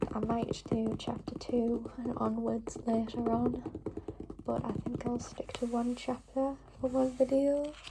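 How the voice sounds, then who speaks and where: Noticeable noise sits in the background. The speaker talks at a fairly slow pace. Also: woman. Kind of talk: ASMR reading and book tapping. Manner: whispered, soft-spoken.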